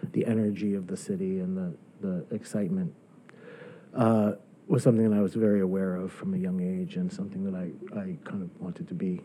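A man with an unremarkable speaking voice talks at a fairly quick pace, his pitch fairly low and its variation ordinary. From northern New Jersey (Bergen County). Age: 50s. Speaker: novelist and writing professor. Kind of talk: casual interview. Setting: in an office.

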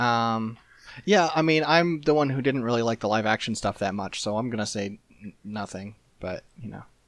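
A man with a normal speaking voice talks at a moderate pace and medium pitch with ordinary pitch variation. His loudness swings widely in a very clean recording with a silent background. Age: 30s. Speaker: podcast co-host. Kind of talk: casual chat.

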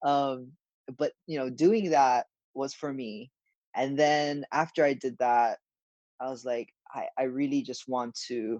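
A man with a Hawaiian accent talks at a medium pitch and a fairly slow pace, with fairly even intonation and long, frequent pauses. The sound is dry and close, with no echo. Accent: Hawaiian American. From Hawaii, Honolulu. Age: 20s. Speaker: professional golfer. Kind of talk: casual interview. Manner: halting, many fillers.

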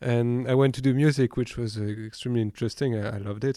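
Over a quiet background, a man with a French accent speaks at a fairly quick pace and a medium pitch. His tone is dark and mellow, his intonation flat and monotone. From western France, countryside near Nantes. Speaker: winemaker. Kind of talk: casual chat. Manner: halting.

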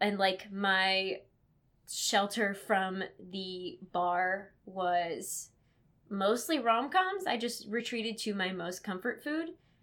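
A woman speaks at a medium pitch with ordinary pitch variation on a very clean recording with a silent background. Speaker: podcast co-host, law graduate. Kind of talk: casual chat. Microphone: worse audio quality than usual (outro).

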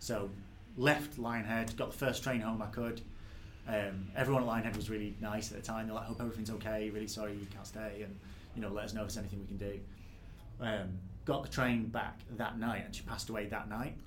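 With a Mancunian accent, a man talks at a very fast pace and a fairly low pitch in fairly even intonation. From northern England, near Manchester. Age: 20s. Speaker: game developer. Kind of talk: casual interview. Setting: game studio. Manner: natural, relaxed.

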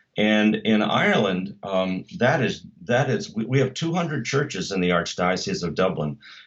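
In an unremarkable speaking voice, a man with an American accent talks at a fairly slow pace, his fairly low pitch carrying lively intonation. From United States. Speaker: church musician and ministry director. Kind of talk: interview. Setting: video call.

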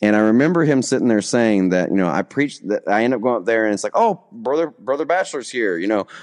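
Against a quiet background, a man with a Southern US accent talks at a very fast pace in a medium pitch with lively intonation. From US South (Alabama). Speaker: pastor. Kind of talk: testimony. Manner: halting.

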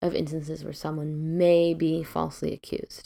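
A woman with an American accent talks at a moderate pace. The recording is very clean with a silent background, and the sound is dry and close with no echo. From US Midwest. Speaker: podcast host. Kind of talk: solo podcast monologue.

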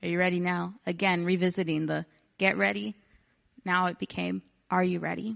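In an American accent, a woman talks at a fairly quick pace. She takes long, frequent pauses. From Texas, Houston/Galveston area. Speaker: missionary, former worship pastor and music teacher. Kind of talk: sermon. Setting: church.

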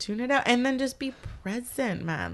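A woman speaks with a Canadian accent against a quiet background. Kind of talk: casual chat.

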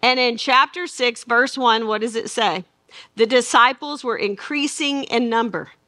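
Here a woman talks with a Southern US accent. Her voice is high and her pace fairly slow. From Arkansas. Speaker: Bible teacher. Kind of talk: Bible study lecture. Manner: animated.

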